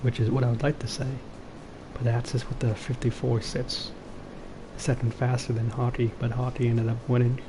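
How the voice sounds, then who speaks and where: Whispering quietly at a fairly quick pace, a man leaves long, frequent pauses over noticeable background noise. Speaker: esports race commentator. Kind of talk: live commentary. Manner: quiet, near whisper. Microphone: low-battery mic, cutting out.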